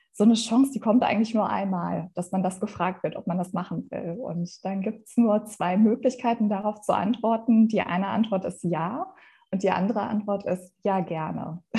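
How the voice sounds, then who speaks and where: Somewhat breathy and dark and mellow in tone, a woman's fairly high voice shows ordinary pitch variation. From Germany, Ruhr area (Essen). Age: 40s. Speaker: youth education program director. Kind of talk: interview.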